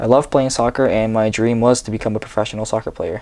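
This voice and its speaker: Speaking at a very fast pace, a man with a West Coast accent keeps a medium pitch and a monotone, flat intonation. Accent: American English, US West Coast. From US Pacific Northwest, Seattle. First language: Japanese. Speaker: vlogger. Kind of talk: reading aloud. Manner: read from script.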